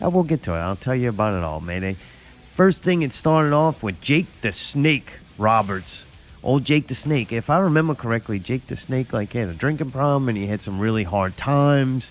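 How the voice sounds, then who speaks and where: Very wide pitch swings mark this man's medium-pitched voice with an American accent. He talks at a fairly quick pace. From US South. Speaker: podcast host. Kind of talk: casual chat.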